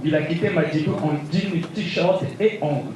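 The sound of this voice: A man's voice sits at a fairly high pitch, with a slightly mellow tone and ordinary pitch variation. Room echo is audible.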